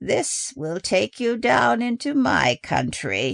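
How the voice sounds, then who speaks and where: A man uses a put-on character voice, raspy and fairly high in pitch. He delivers it at a very slow pace. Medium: read story. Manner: grave, slow, deliberate.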